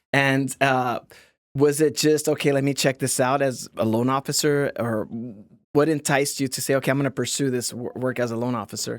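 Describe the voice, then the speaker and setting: A man with a Southern California accent talks in a monotone, flat way. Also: medium pitch for a man, fairly quick pace, very clean recording, silent background. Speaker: podcast host. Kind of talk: interview conversation.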